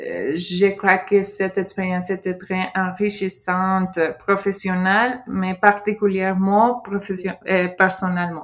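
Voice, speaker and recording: A woman with a Mexican accent at a very slow pace, monotone and flat in intonation. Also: medium pitch for a woman. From Mexico, Sinaloa. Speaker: former au pair. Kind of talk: interview testimony. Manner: halting.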